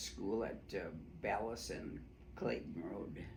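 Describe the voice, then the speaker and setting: This man speaks very slowly at a fairly low pitch, with very wide pitch swings, vocal fry and an American accent, and audible room echo surrounds his voice. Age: 90s. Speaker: oral history interviewee. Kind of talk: oral history interview. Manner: halting, many fillers.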